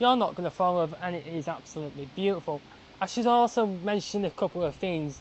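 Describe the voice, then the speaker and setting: Her pitch is fairly low. The woman's intonation is lively. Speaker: railway travel vlogger. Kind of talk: casual vlog to camera. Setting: outdoors at a railway station. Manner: rushed.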